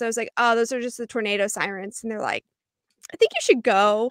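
In a very clean recording with a silent background, a woman with a bright, sharp, animated tone speaks at a fairly high pitch in a dry, close sound with no echo. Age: 20s. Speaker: podcast panelist. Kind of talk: casual chat.

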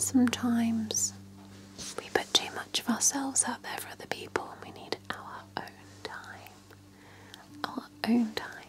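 A woman whispers at a fairly slow pace, with long, frequent pauses. Her loudness swings widely. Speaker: relaxation video host. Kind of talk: soft-spoken guided relaxation. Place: home room. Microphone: webcam.

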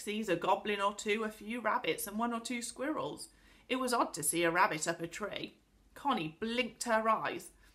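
A reading voice that sounds unforced

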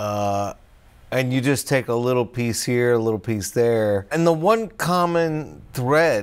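Speaking fairly slowly, a man with a medium-pitched voice uses lively intonation. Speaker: stand-up comedian. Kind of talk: casual talk to camera. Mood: calm, reflective. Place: garage.

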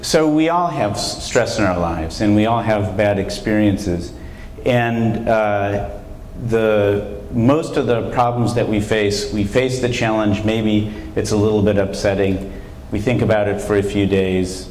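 A man with a fairly low pitch speaks at a fairly slow pace with ordinary pitch variation and very even loudness, with audible room echo and light background noise. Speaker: visiting professor. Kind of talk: lecture. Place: hall. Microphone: lapel.

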